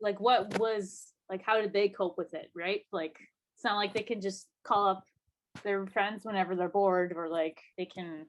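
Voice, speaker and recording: With a Manitoban accent, a woman speaks at a moderate pace in a medium pitch, her intonation fairly even. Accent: Canadian (Manitoba). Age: 20s. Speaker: podcast co-host, musician. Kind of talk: casual chat. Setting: video call.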